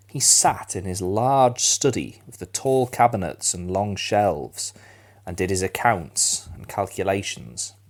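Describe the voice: A plain read-aloud delivery, its pitch varying in an ordinary way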